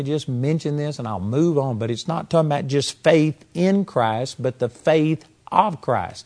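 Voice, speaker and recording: Speaking in a normal speaking voice, a man with a fairly high pitch keeps a moderate pace, uses ordinary pitch variation and leaves hardly any pauses. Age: 60s. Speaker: Bible teacher. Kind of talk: sermon.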